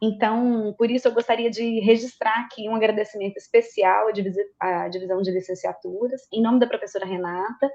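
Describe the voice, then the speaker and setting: With hardly any pauses, a woman with a fairly high pitch and a dark, mellow tone keeps her intonation fairly even. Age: 40s. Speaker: university teaching director. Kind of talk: formal opening speech.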